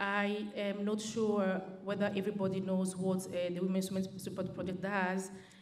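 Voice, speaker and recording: There is noticeable background noise and audible room echo as a woman of medium pitch speaks at a fairly slow pace. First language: French. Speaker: charity worker, keynote speaker. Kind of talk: conference speech. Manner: halting, many fillers.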